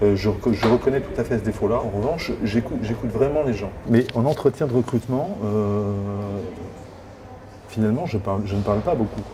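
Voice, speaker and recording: A man talks at a fairly quick pace with long, frequent pauses over noticeable background noise. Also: medium pitch for a man, ordinary pitch variation. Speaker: job seeker, former HR director. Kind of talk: coaching session. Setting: hotel. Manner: fast.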